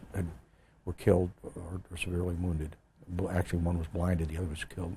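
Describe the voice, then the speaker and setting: Talking at a very fast pace, a man uses a very deep, low voice that is dark, mellow and somewhat breathy, with monotone, flat intonation. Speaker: retired army general, Vietnam war veteran. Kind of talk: oral history interview answer.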